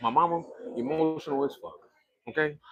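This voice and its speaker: A man is speaking. Music plays in the background. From US South, Pensacola, Florida. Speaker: YouTuber telling life story. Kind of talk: personal monologue to camera. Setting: phone camera selfie video. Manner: fast; animated.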